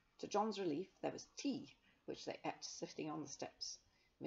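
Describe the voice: Lively intonation in plain reading aloud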